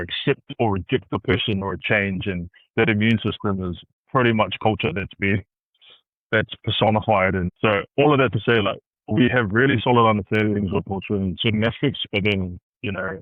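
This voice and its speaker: This man has a New Zealand accent. His pitch sits fairly low. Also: ordinary pitch variation, moderate pace. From Christchurch, New Zealand. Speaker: consultant and community leader. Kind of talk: podcast interview answer.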